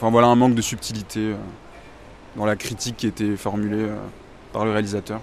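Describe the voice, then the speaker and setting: A man's fairly low, monotone voice with flat intonation, at a fairly quick pace with long, frequent pauses. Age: 20s. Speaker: student. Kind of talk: street interview.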